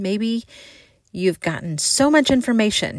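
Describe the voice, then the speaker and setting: Recorded very cleanly against a silent background, a woman talks with a warm tone and lively intonation. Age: 40s. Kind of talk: devotional talk. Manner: warm, earnest.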